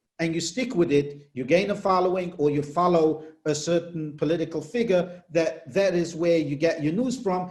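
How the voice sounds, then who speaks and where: Talking at a moderate pace with a non-native accent, a man has a high pitch and ordinary pitch variation. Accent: foreign. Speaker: political reporter. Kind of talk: interview.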